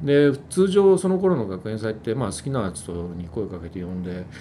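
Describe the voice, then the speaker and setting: The man has a dark, mellow tone, heard with audible room echo. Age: 50s. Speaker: music company executive. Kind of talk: casual chat. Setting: office.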